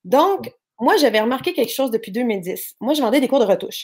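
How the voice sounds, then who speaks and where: Talking at a fairly quick pace with a Quebec accent, a woman uses a high pitch and very wide pitch swings. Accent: Québécois French. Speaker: online entrepreneur. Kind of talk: interview. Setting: live stream.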